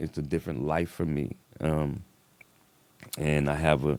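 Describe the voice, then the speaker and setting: In a very deep, low voice with vocal fry, a man speaks at a moderate pace. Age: 50s. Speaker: rapper and activist. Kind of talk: interview conversation. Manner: casual, loose and conversational.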